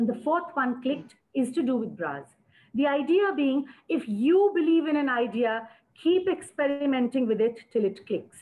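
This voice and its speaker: Speaking with an Indian accent, a woman uses a high pitch and lively intonation. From India, Uttar Pradesh. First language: Hindi. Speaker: entrepreneur. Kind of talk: panel discussion. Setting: webinar.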